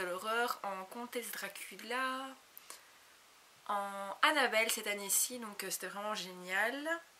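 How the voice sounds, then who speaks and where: A fairly slow pace with ordinary pitch variation over noticeable background noise. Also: woman. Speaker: beauty YouTuber. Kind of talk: casual Q&A vlog. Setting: home video recorded on a compact camera.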